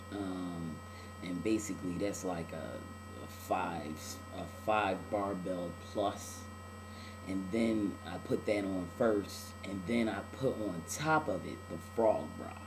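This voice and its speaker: A man speaks at a very slow pace with a fairly low pitch, fairly even intonation and long, frequent pauses. Noticeable background noise and audible room echo come through on the recording. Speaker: video blogger. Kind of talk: video diary. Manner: casual, many filler words.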